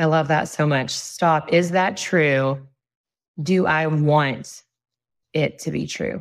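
The speaker talks at a very slow pace. Long pauses come often. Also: woman, very deep, low pitch for a woman, ordinary pitch variation, very clean recording, silent background. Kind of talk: casual interview conversation. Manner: speaks loudly.

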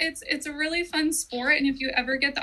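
A woman with an American accent uses a raised, projected voice with a bright, sharp tone and ordinary pitch variation. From Southern California. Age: 30s. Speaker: horse owner. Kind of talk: casual interview.

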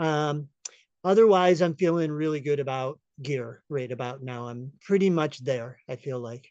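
A man with an American accent has a normal speaking voice and moderate pace. His pitch variation is ordinary, while his loudness swings widely. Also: fairly high pitch for a man. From upstate New York. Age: 50s. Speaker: hiker. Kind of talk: casual chat.

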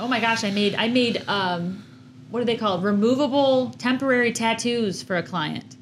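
A woman with an American accent speaks at a moderate pace and fairly high pitch, with ordinary pitch variation, over noticeable background noise. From Chicago, US Midwest. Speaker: art director and co-host. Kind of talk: casual chat. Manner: playful, laughing.

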